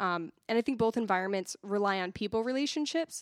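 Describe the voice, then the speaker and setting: A woman with an American accent talks at a fairly quick pace in a plain, everyday voice of medium pitch, with a dry, close sound and no echo. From Massachusetts (Haverhill). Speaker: church assimilation director and content producer. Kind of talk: casual podcast interview.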